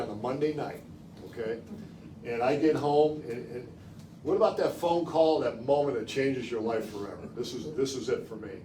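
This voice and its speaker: Audible room echo surrounds a man with an American accent who speaks at a moderate pace with ordinary pitch variation. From Chicago suburbs, Illinois. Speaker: former college football quarterback, guest speaker. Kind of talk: public talk. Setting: library talk with live audience. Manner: conversational, storytelling.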